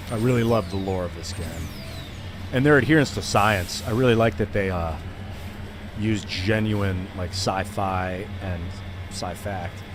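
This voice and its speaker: A man with an Ohio accent, fairly low pitch and ordinary pitch variation, at a fairly slow pace with long, frequent pauses, amid audible room echo and music in the background. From US Midwest, Ohio (Akron area). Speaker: gaming streamer. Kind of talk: live gameplay stream, casual chat. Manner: animated.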